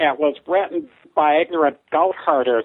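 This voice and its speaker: A put-on character voice carries the words at a middle pitch. Its speed is moderate. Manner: silly, mocking.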